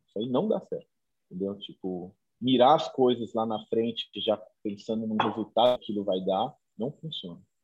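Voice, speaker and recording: Loudness swings widely as a man talks at a moderate pace. His medium-pitched voice has ordinary pitch variation. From interior of São Paulo state, Brazil. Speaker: street artist and muralist. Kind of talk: interview. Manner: halting, many repetitions.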